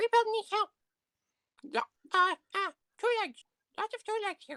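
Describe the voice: A squeaky, put-on character voice speaks at an extremely high pitch. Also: moderate pace.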